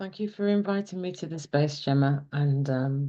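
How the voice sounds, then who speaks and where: Her delivery is fairly slow, with a slight Scouse accent. The woman's pitch variation is ordinary. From Liverpool, England. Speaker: counsellor and circle facilitator. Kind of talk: testimony.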